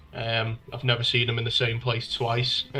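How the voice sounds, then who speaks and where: Noticeable background noise surrounds a man with a northern English accent. He talks at a fairly slow pace. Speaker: music fan. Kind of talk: casual chat. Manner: halting.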